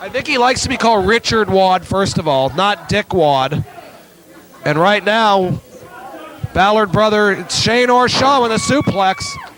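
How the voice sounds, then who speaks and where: Over crowd noise in the background, a man with a high pitch talks at a fairly slow pace. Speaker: wrestling announcer. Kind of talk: live wrestling play-by-play commentary.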